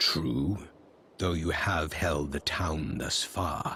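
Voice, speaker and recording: A man's put-on character voice, growling and very deep, at a very slow pace over clear background noise. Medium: video game. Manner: terse, flat.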